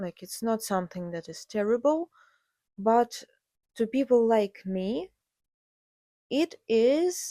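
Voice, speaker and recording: A woman with a Ukrainian accent speaks at a fairly high pitch, with very wide pitch swings and big swings in loudness. Long, frequent pauses break up her speech, and the very clean recording has a silent background and a dry, close sound with no echo. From Ukraine. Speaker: podcast host, artist. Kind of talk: casual monologue. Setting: home recording alone with cats. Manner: hesitant with fillers.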